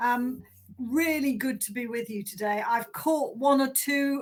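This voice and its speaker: Speaking with a Yorkshire accent, a woman keeps a moderate pace. Her voice is high, with fairly even intonation. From south Yorkshire, England (Doncaster). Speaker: manufacturing policy director, keynote speaker. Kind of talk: keynote speech. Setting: virtual conference.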